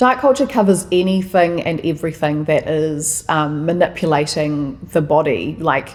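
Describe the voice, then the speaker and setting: A woman with a New Zealand accent speaks at a moderate pace, with hardly any pauses. Her pitch is very deep and low. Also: ordinary pitch variation. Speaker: podcast guest. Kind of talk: casual chat.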